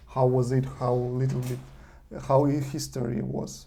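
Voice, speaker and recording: There is audible room echo around a man speaking with a non-native accent. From eastern Ukraine (Donetsk), Russian-speaking. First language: Russian. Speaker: vlogger. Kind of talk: video monologue. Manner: halting, many fillers.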